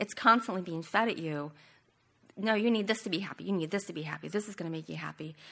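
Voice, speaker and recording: Her voice shows ordinary pitch variation as this woman speaks. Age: 50s. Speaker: women's Bible study leader. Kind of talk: Bible study teaching.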